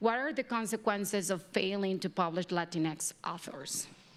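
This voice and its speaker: In a slight Mexican accent, a woman talks at a medium pitch with ordinary pitch variation. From Mexico. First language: Spanish. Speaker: panel moderator. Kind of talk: panel discussion.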